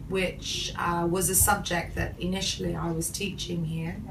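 A woman's voice comes through. Noticeable background noise is present. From England, UK. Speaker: English lecturer. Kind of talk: interview answer. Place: office. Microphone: camera far.

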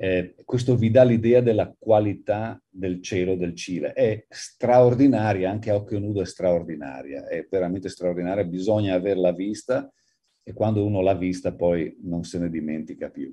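Here a man speaks at a fairly low pitch in a dark, mellow tone. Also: ordinary pitch variation, moderate pace. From Friuli, north-east Italy. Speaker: astronomer. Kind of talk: lecture. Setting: video call. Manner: fluent.

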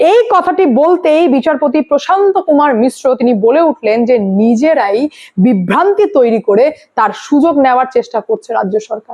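High-pitched woman's voice with a dark, mellow tone, lively intonation, a moderate pace and few pauses.

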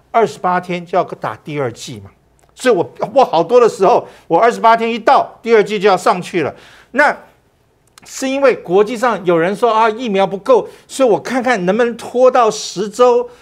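Against a quiet background, a man speaks in an animated tone at a moderate pace. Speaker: physician; cardiac surgeon guest commentator. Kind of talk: political talk show. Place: studio. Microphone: lapel.

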